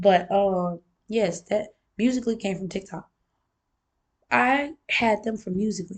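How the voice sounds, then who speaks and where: A woman speaks fairly slowly in a somewhat breathy voice. She leaves long, frequent pauses. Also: medium pitch for a woman, ordinary pitch variation. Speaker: vlogger. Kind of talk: casual monologue vlog.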